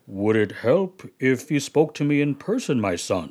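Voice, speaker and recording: Using a put-on character voice, a man talks at a fairly slow pace, fairly high in pitch, with very wide pitch swings. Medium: comedy sketch. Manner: gentle, pious.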